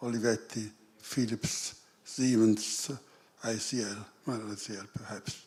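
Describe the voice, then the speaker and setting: A man at a medium pitch, flat and monotone, fairly slow, with long, frequent pauses and big swings in loudness. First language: not English. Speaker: audience member asking a question. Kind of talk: conference Q&A question. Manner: halting.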